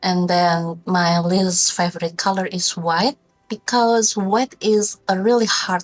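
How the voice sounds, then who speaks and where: Over music in the background, the speaker goes at a very slow pace with fairly even intonation. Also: woman. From Indonesia. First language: not English. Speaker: video game artist. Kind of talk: interview. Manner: halting.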